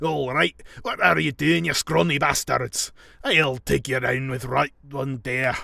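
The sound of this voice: A man puts on a raspy character voice in a Scottish accent, pitched at a medium level and delivered at a fairly slow pace. The sound is dry and close, with no echo.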